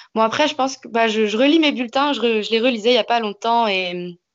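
A woman's fairly high voice at a moderate pace. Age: 20s. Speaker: teacher. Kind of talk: interview. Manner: halting.

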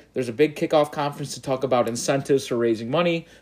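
With an American accent, a man speaks at a fairly high pitch in an animated tone. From Chicago South Side, US. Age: 20s. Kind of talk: casual banter. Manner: animated, rant-like.

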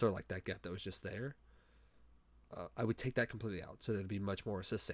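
A man with a fairly low pitch speaks at a very fast pace with fairly even intonation, yet stops for long, frequent pauses. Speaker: podcast host. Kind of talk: solo monologue. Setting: home recording with headset mic. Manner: fast talker; halting, many fillers and restarts.

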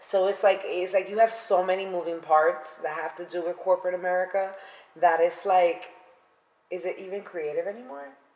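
A woman talks at a fairly quick pace with a New York accent. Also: medium pitch for a woman. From New York City (Bronx). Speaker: podcast co-host. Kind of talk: casual chat. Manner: animated.

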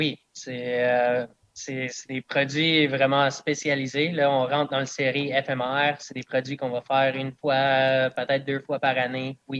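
A man's monotone, flat delivery at a very slow pace, in a dry, close sound with no echo. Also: medium pitch for a man. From southern Quebec (Eastern Townships, Bedford area). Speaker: distiller. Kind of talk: casual interview.

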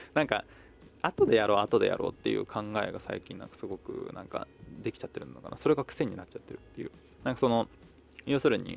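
Over background music, a man mumbles at a very fast pace, with long, frequent pauses and big swings in loudness. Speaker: podcaster and performer. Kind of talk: solo diary monologue. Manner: mumbling.

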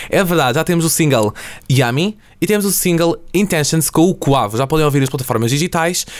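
A man with a plain, everyday voice talks at a fairly quick pace and a fairly high pitch. His pitch varies in an ordinary way, and his loudness stays very even. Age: young. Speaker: student podcast host. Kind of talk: casual chat. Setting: studio.

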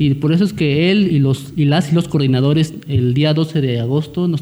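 Noticeable background noise sits under this man's fairly high-pitched voice. He keeps a moderate pace and fairly even intonation. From Central Valleys of Oaxaca, Mexico. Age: 20s. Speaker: lawyer and party youth coordinator. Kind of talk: radio interview.

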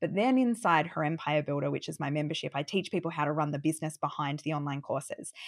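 The speech comes at a very fast pace with ordinary pitch variation. The recording is very clean, with a silent background. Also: woman, very deep, low pitch for a woman. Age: 30s. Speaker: business founder and online course coach. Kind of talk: interview.

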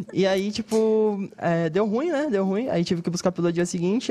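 Noticeable background noise accompanies a man whose pitch is high and varies in an ordinary way. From Brazil. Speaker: comedian. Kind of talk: casual chat.

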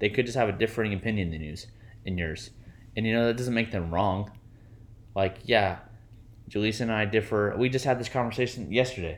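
Using a fairly low pitch and ordinary pitch variation, a man speaks at a fairly quick pace but with long, frequent pauses. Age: 30s. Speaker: podcast co-host. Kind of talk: casual chat.

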